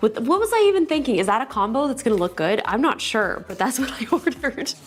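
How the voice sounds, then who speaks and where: Over music in the background, a woman speaks in an animated tone with very wide pitch swings. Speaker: tech reviewer. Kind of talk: unboxing video.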